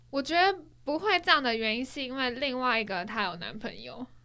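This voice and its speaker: Bright and sharp in tone, a woman talks with lively intonation. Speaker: podcast co-host. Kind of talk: casual chat.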